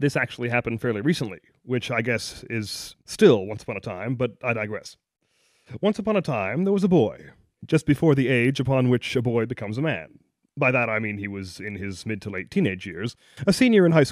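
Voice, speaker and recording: An ordinary speaking voice from a man at medium pitch, fairly quick in pace with lively intonation, on a very clean recording with a silent background. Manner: playful, teasing, wry.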